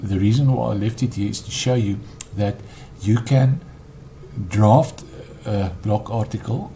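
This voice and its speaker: Over noticeable background noise, a man with a non-native accent speaks at a moderate pace with fairly even intonation and a fairly low pitch. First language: not English. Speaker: web developer. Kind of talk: tutorial. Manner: halting, frequent ums.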